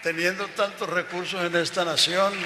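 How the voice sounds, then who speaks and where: Someone speaks at a moderate pace with fairly even intonation, amid audible room echo and noticeable background noise. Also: man. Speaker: elderly pastor and missionary. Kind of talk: onstage interview.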